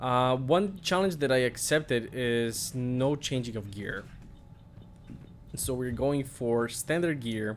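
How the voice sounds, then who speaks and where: A man with a Bulgarian accent, medium pitch and a very slow pace. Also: ordinary pitch variation. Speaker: gaming streamer. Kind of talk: gameplay commentary. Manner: hesitant, many fillers.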